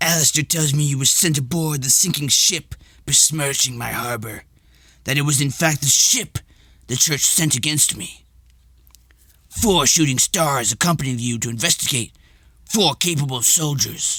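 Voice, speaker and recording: Putting on a character voice, a man speaks at a fairly high pitch and a moderate pace, leaving long, frequent pauses. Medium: read story. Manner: imperious, condescending.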